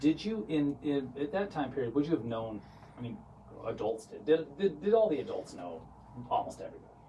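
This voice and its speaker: Over noticeable background noise, a man with an American accent and a fairly high pitch speaks at a fairly quick pace, with very wide pitch swings and big swings in loudness. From US West, St. George, Utah. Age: 40s. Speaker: real estate company founder, interview host. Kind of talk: casual interview. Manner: animated.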